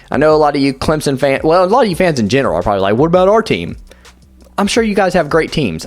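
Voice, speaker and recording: Over music in the background, a man speaks at a very fast pace in a fairly high voice. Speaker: sports YouTuber. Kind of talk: unscripted commentary monologue. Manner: halting, stumbling over words.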